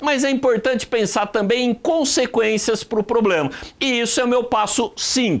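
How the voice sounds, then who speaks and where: With a São Paulo interior accent, a man speaks at an extremely high pitch. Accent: caipira (interior São Paulo). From interior of São Paulo state, Brazil. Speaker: writing teacher. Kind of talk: online lesson. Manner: conversational.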